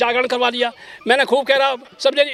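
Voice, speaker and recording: A man's extremely high-pitched voice at a moderate pace, with noticeable background noise. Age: 70s. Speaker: elderly Buddhist convert telling about his family. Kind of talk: street interview. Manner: halting; emotional.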